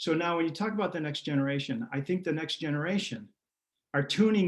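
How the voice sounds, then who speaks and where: Lively intonation in a high-pitched male voice. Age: 60s. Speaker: pastor. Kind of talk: interview.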